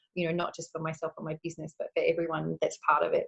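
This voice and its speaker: Recorded with a dry, close sound and no echo, a woman speaks at a fairly low pitch. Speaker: beauty therapist and holistic educator. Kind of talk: interview answer.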